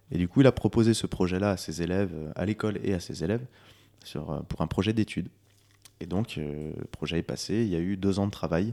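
A man with a very deep, low pitch and a dark, mellow tone speaks at a fairly quick pace, with ordinary pitch variation and long, frequent pauses. The recording is very clean, with a silent background and a dry, close sound with no echo. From France, Lyon area (Monts du Lyonnais). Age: 20s. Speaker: singer-songwriter. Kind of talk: interview. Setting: on location before a concert. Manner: hesitant, repeats words.

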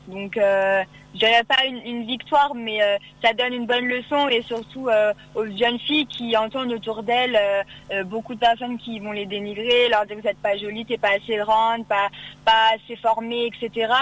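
A woman speaks at a moderate pace with a fairly high pitch and fairly even intonation. Noticeable background noise runs underneath. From Oise, Picardy, northern France. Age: 20s. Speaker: beauty pageant winner and student. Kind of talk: radio interview. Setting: phone call.

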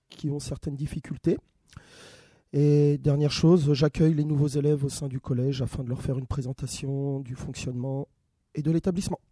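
A man's fairly quick, somewhat breathy voice, fairly high in pitch with a dark, mellow tone, monotone and flat, dry and close with no echo. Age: 30s. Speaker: school staff and youth sports educator. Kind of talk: interview. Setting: studio. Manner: hesitant, many fillers.

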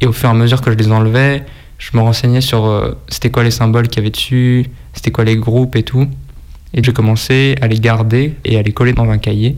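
In an ordinary speaking voice, a man talks at a fairly quick pace and medium pitch, his intonation fairly even. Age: 20s. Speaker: sticker collector. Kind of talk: interview.

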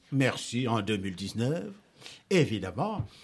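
A man is speaking. His voice sits at medium pitch. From Senegal. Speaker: storyteller and musician. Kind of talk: interview answers to schoolchildren. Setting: school.

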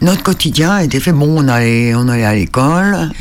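A man of medium pitch uses lively intonation while noticeable background noise plays. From Île de Sein, Brittany. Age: 70s. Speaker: islander recounting local fishing history. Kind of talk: interview.

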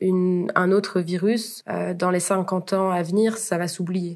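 A woman's voice at a medium pitch. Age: 20s. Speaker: university student. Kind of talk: casual interview. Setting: remote call recording. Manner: hesitant, frequent fillers.

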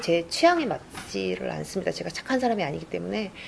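A woman speaks over noticeable background noise. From South Korea, Gwangju area. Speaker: crime novelist. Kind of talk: interview answers at a book event. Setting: room with live audience, no sound system.

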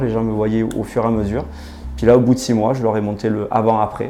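A man talks at a very fast pace. Audible room echo and noticeable background noise surround his voice. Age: 40s. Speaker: hair transplant patient. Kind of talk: testimony. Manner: halting, many hesitations.

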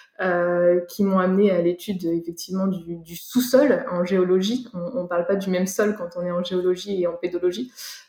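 A woman's ordinary speaking voice at medium pitch, fairly even intonation, moderate pace and hardly any pauses. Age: 30s. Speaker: soil scientist and startup founder. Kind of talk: interview.

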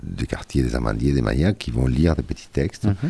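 Lively intonation in a man's very deep, low-pitched voice. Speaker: cultural association president. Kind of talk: radio interview. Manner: hesitant, searching for words.

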